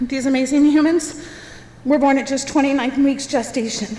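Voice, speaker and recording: Against noticeable background noise, a woman with a high-pitched voice speaks at a moderate pace. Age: 30s. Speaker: parent speaking at public comment. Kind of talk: public comment speech.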